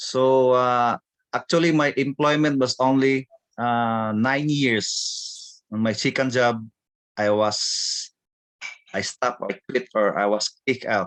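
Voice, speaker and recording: A man of medium pitch speaks at a very slow pace with fairly even intonation and long, frequent pauses. The sound is dry and close with no echo, against a quiet background. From Philippines. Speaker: business speaker. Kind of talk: testimony.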